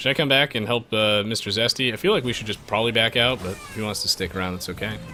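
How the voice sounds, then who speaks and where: A man talks at a very fast pace with music in the background. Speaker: gaming streamer. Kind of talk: live gameplay commentary. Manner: animated.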